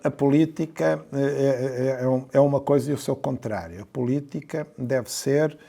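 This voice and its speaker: A fairly high-pitched man's voice at a moderate pace, with ordinary pitch variation, hardly any pauses, and noticeable background noise. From central Portugal (Pombal, Coimbra). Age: 60s. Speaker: mayor and physician. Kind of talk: interview. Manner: hesitant, many fillers and repeated words.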